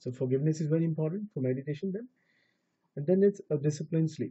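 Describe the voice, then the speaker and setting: The speech comes at a very fast pace, somewhat breathy, with lively intonation. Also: man. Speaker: spiritual teacher. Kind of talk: spiritual talk. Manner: casual with hesitations.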